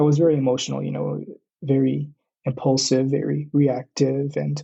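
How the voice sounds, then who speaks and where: Somewhat breathy, a man with an American accent talks at a moderate pace and a medium pitch. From US West Coast, Southern California (Oxnard). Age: 20s. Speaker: university student, podcast guest. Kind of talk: casual interview conversation.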